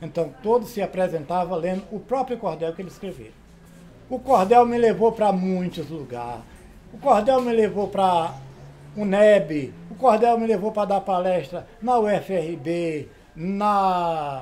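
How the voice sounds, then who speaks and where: A fairly slow pace with lively intonation. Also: man, high pitch for a man, big swings in loudness. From Brazil, Sergipe (Northeast). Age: 70s. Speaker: cordel poet and teacher. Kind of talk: interview testimony.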